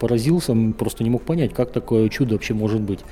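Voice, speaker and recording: A man's very fast speech with lively intonation amid noticeable background noise. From northern Kazakhstan. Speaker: panoramic photographer and traveler. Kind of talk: interview. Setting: travel festival.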